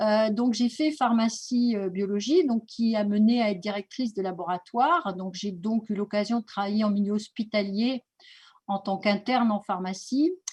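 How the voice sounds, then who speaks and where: A fairly high, somewhat breathy female voice at a moderate pace with ordinary pitch variation. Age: 60s. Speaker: naturopathy school director. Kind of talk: presentation. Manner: hesitant, many fillers.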